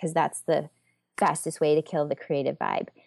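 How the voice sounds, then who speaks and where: A woman with a Southern US accent at a very fast pace, over a quiet background. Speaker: communication coach and business owner. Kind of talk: casual interview chat.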